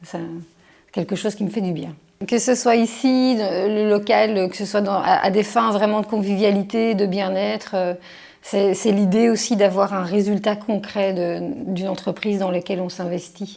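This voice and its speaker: The speaker talks at a fairly slow pace with monotone, flat intonation. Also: woman, medium pitch for a woman. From Belgium, Charleroi (Wallonia). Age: 40s. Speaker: criminology researcher. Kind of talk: interview monologue. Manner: hesitant, many fillers.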